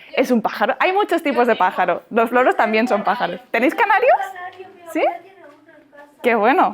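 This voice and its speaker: A high-pitched woman with an animated tone swings very widely in pitch while keeping a very even loudness, leaving long, frequent pauses against noticeable background noise. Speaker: bird educator, parrot content creator. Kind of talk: talk to schoolchildren. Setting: classroom. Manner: fast. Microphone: poor camera audio at end of class.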